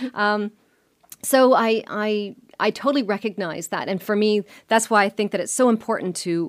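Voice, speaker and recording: A woman speaks at medium pitch and a moderate pace in an ordinary speaking voice. The recording is very clean, with a silent background. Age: 50s. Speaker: bakery co-founder and podcast co-host. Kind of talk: casual chat.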